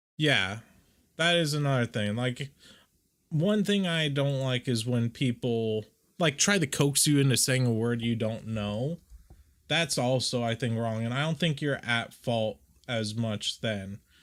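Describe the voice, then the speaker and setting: A man's medium-pitched voice at a fairly slow pace, with ordinary pitch variation, in a very clean recording with a silent background. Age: 20s. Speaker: VTuber streamer. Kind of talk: casual livestream chat while editing art.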